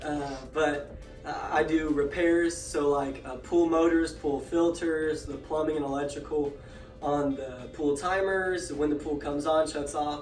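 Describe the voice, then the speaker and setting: Music plays in the background as a man speaks fairly slowly with monotone, flat intonation. His pitch is fairly high, and the room echo is audible. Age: 20s. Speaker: podcast host, pool repair technician. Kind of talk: casual self-introduction. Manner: hesitant, many fillers.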